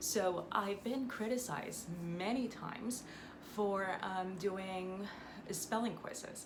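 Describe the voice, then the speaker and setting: A woman talks at a medium pitch with ordinary pitch variation. Room echo is audible, and there is noticeable background noise. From Puerto Rico. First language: Spanish. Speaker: Spanish teacher. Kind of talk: educational vlog talk. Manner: halting, many fillers.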